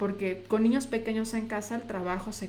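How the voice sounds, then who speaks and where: Her voice is fairly high, with a flat, monotone delivery at a moderate pace. Noticeable background noise and audible room echo surround this woman. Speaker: nutritionist. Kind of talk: live stream talk. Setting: live video on social media.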